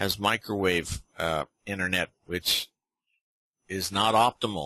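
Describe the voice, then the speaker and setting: In a dry, close recording with no echo and a quiet background, a man speaks in a monotone, flat way at a fairly low pitch with a bright, sharp tone. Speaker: software company owner giving a product demo. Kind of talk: live webinar tutorial. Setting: online webinar. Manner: casual, with many fillers; slow.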